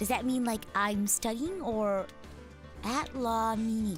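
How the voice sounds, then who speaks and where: A woman's fairly high-pitched voice at a fairly slow pace, with ordinary pitch variation and music in the background. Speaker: VTuber streamer. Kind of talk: casual live-stream talk.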